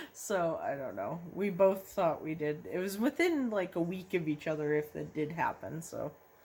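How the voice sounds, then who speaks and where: Speaking at a moderate pace with hardly any pauses, a woman uses a fairly low pitch and ordinary pitch variation. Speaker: YouTuber. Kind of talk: casual chat. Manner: loud.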